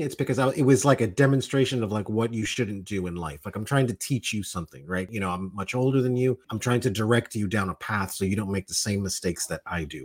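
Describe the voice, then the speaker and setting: The speaker talks at a very fast pace in an American accent with hardly any pauses. The intonation is lively. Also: man, medium pitch for a man. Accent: Miami Cuban American English. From Miami, Florida. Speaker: podcast co-host. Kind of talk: casual chat.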